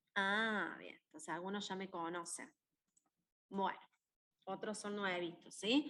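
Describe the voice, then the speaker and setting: A woman is speaking. Her tone is bright and sharp. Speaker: university maths tutor. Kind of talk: lecture. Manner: animated.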